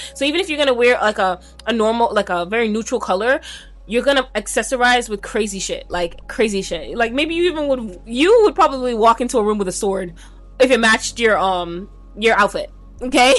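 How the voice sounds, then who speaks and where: Music plays behind a woman who talks at a fairly quick pace, her fairly high voice rising and falling in a lively way. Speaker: tarot reader. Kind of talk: pick a card tarot reading. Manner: casual, conversational with filler words; stumbling over words.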